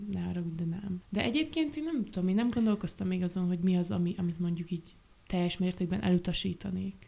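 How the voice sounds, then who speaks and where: A woman speaks at a fairly quick pace in a medium pitch, her tone dark and mellow. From Transylvania, Romania (Gyergyó). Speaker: set and costume designer. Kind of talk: casual chat.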